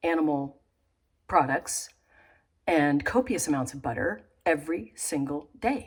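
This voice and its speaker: Speaking at a fairly slow pace, a woman with a very deep, low pitch swings very widely in pitch on a very clean recording with a silent background. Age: 60s. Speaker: nutritional therapy practitioner. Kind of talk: unscripted monologue. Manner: halting.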